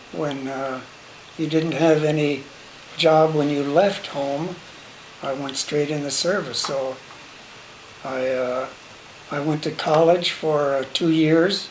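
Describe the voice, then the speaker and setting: A man with an American accent speaks very slowly at a fairly high pitch, fairly even in intonation, with long, frequent pauses. Noticeable background noise and audible room echo fill the recording. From small-town Illinois, US Midwest. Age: 80s+. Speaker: WWII veteran, grandfather. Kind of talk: family interview, personal history. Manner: halting, many fillers.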